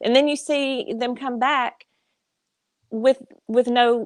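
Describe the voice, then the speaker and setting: Against a quiet background, a woman speaks with a Southern US accent at a high pitch. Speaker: military veteran. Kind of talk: casual chat.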